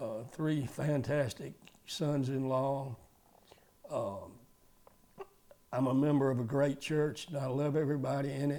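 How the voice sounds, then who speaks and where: A man with a Southern US accent speaks fairly slowly and flatly in a monotone at a fairly high pitch, leaving long, frequent pauses. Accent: Southern US (Georgia). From Georgia, US South. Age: 80s+. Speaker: retired car dealer. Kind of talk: testimony. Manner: halting.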